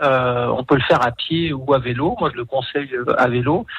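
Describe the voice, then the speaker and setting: There is noticeable background noise. Over it, a man speaks with a fairly high pitch. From Savoie, France (Aix-les-Bains). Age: 40s. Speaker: tourism marketing executive. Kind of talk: radio interview. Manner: hesitant, many fillers.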